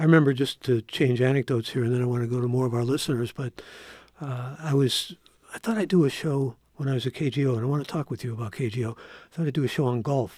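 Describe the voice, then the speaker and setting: A man talks very fast at a medium pitch. His intonation stays fairly even. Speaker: radio and podcast interviewer. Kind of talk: interview conversation. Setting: live-streamed podcast with listener questions.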